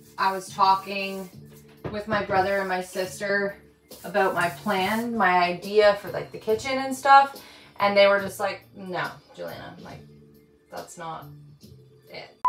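A woman talks at a fairly slow pace, with long, frequent pauses, big swings in loudness and ordinary pitch variation. Faint music plays in the background, and the room echo is audible. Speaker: renovation vlogger. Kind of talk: casual vlog chat. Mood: amused, satisfied. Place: home room.

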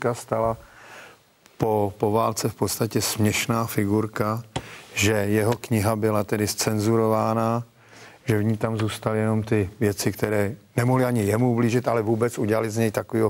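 Delivered at a moderate pace, the speech has monotone, flat intonation and very even loudness. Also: man. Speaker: discussion guest or host. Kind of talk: documentary discussion. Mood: earnest, reflective. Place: studio.

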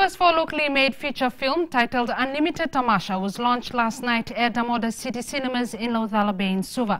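A woman's high-pitched voice at a very fast pace with hardly any pauses. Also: ordinary pitch variation. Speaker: news anchor. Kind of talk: news reading. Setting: studio. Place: studio.

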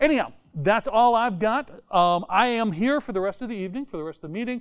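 Lively intonation runs through a man's speech. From Tennessee. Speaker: software conference speaker; conference speaker. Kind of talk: technical talk. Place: meeting room. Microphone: lapel.

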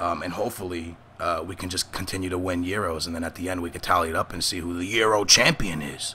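Very fast and very deep, a man's low voice comes through over noticeable background noise. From Portugal. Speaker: gaming youtuber. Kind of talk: casual chat. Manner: animated.

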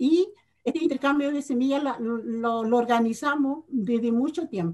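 A woman's high voice in a dark, mellow tone, at a very slow pace. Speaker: farmer group representative. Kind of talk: presentation. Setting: video call.

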